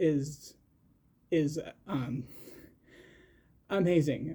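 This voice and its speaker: A man speaks in a fairly high pitch with a dark, mellow tone. He is somewhat breathy, and his intonation stays fairly even. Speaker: podcast host. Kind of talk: casual solo podcast chat. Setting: at home in shared house. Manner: halting, many repetitions and fillers.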